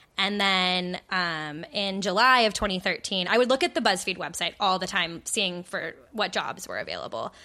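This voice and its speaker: Using an American accent, a woman speaks at a medium pitch and moderate pace in a bright, sharp tone, with hardly any pauses, over a quiet background. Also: ordinary pitch variation. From Arizona. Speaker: media executive. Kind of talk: interview.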